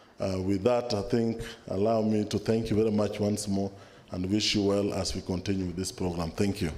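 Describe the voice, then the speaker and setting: A man's dark, mellow tone, fairly quick and delivered in a flat monotone. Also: fairly low pitch for a man. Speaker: government official. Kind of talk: formal speech. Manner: formal.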